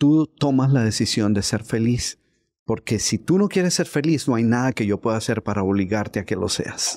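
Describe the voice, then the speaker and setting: A man at a medium pitch talks at a moderate pace with lively intonation. His loudness stays very even over a quiet background. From Colombia, Bogotá. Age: 60s. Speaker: author and motivational speaker; motivational speaker. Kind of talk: interview conversation. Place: studio. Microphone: studio mic.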